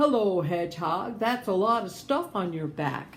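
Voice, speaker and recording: In a put-on, croaky character voice at a medium pitch, a woman speaks at a moderate pace over clear background noise. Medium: read story.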